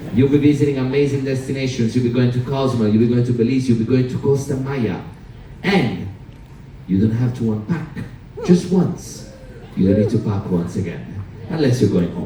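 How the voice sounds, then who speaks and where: With an Italian accent, a man talks fairly quickly at a medium pitch with ordinary pitch variation and long, frequent pauses, amid audible room echo and noticeable background noise. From Sicily, Italy. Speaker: cruise director. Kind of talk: stage show hosting. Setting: theater stage with audience. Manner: animated; loud.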